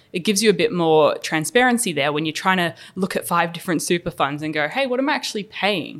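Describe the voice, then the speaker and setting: In a very clean recording with a silent background, a woman with an Australian accent talks very fast with hardly any pauses, using a fairly low pitch and lively intonation. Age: 20s. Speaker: finance podcast host. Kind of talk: casual chat.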